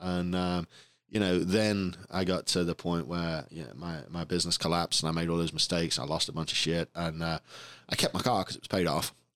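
In a very clean recording with a silent background, a man speaks with an English accent. His pitch is very deep and low, and his pace is fairly quick. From England. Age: 40s. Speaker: podcast host and business owner. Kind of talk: casual chat. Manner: animated.

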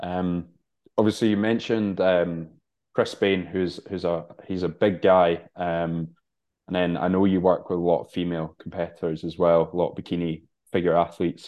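His intonation is monotone and flat as a man speaks in a very deep, low pitch. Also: moderate pace. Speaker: podcast host and bodybuilder. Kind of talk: casual interview chat.

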